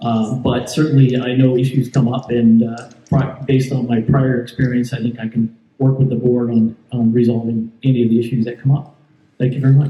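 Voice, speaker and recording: Somewhat breathy and medium in pitch, a man with an American accent speaks at a fairly quick pace in a monotone, flat intonation. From Southern California. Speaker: homeowners board candidate. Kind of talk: candidate speech at town hall. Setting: community town hall meeting. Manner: halting, many fillers.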